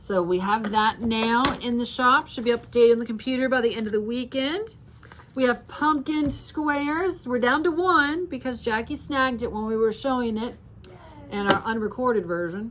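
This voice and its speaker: Her voice is high in pitch, with lively intonation at a moderate pace. This woman is heard over noticeable background noise. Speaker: needlework shop owner and video host. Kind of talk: casual show-and-tell chat. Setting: shop with a small in-person audience.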